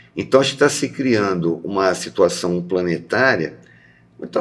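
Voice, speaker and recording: A man's lively intonation carries through as he talks at a fairly slow pace. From interior of São Paulo state, Brazil. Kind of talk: casual conversation.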